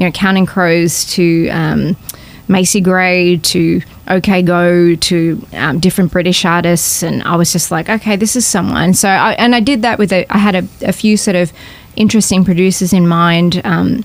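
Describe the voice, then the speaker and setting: A woman's fairly low voice with an Australian accent, moderate pace and very even loudness, over noticeable background noise. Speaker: singer-songwriter. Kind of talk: podcast interview, casual chat. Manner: animated.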